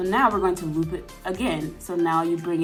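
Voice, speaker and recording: Music plays in the background. A woman talks with a fairly low pitch. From Atlanta, Georgia. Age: 20s. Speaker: sewing tutorial YouTuber. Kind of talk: casual tutorial talk to camera.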